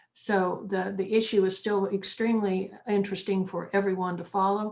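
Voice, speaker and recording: In an American accent, a woman talks at a medium pitch with a monotone, flat intonation. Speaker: panel moderator. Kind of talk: panel discussion.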